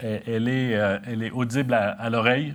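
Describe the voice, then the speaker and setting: A man speaks at a moderate pace in a Canadian French accent. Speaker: company chief executive. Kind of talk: corporate strategy presentation. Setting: meeting room with audience, live broadcast. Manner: halting, many hesitations.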